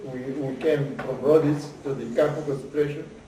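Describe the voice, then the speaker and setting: A man speaks slowly in a fairly high pitch, his intonation flat and monotone. Noticeable background noise runs beneath him. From Island of Rhodes. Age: 80s+. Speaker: Holocaust survivor. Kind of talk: interview answer. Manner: hesitant, halting.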